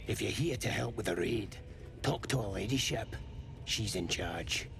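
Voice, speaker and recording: Over loud background noise, someone does a put-on character voice at a moderate pace. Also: man, fairly low pitch for a man. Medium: video game. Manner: rough, informal.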